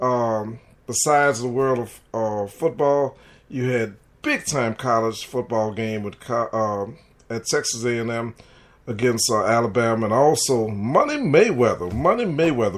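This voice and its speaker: A man with a New Orleans accent, medium pitch, ordinary pitch variation and a moderate pace. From US South, New Orleans. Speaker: sports talk radio host. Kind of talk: sports talk podcast monologue. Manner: animated.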